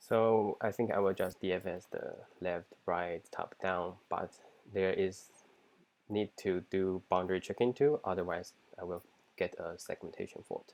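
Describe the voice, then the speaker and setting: Fairly slow speech from a man with a non-native accent. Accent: non-native English accent, self-described. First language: not English. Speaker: software engineer job candidate. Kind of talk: mock coding interview, thinking aloud. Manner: halting, with frequent self-corrections and fillers.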